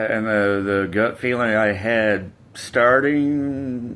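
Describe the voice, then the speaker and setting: A very slow pace with ordinary pitch variation. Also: man. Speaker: vlogger. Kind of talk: storytime. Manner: casual, halting with fillers.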